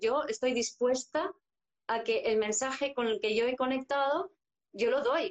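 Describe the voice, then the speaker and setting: The woman's voice sits high. She uses lively intonation. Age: 50s. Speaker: psychologist and astrologer. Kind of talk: interview conversation. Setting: live video stream.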